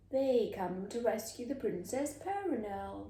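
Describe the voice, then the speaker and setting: Putting on a character voice, a woman speaks at a fairly high pitch and a moderate pace, with a slight echo. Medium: read story.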